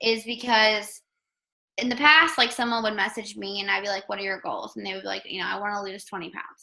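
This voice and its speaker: A woman's bright, sharp voice in an American accent, medium in pitch with vocal fry, ordinary pitch variation and big swings in loudness. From Maryland, US. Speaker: online health coach and news reporter. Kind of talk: team call talk. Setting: conference call. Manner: fast; animated.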